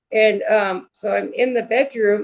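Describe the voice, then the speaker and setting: A woman with an American accent speaks in a plain, everyday voice at medium pitch. Her pace is fairly slow. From New York. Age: 60s. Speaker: paranormal experiencer. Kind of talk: interview.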